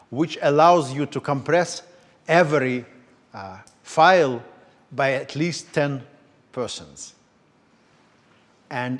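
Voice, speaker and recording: Speaking in a Russian accent, a man with a fairly high pitch uses ordinary pitch variation, big swings in loudness, and long, frequent pauses. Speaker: lecturer. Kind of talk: lecture. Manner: halting.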